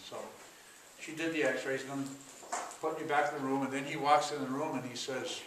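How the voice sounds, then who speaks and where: A man with an American accent speaks at a fairly high pitch in a monotone, flat intonation. Audible room echo and noticeable background noise surround him. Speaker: chiropractor and author. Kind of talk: conference talk.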